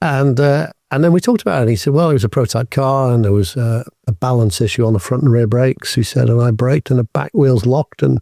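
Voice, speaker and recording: A man's dark, mellow tone at medium pitch and fairly quick pace, dry and close with no echo, on a very clean recording with a silent background. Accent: British. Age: 60s. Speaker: business executive. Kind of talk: interview. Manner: halting.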